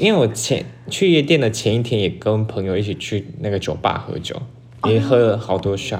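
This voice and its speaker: Amid noticeable background noise and audible room echo, a man speaks in an animated tone at a fairly quick pace, medium in pitch with lively intonation. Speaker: podcast co-host. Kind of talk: casual chat.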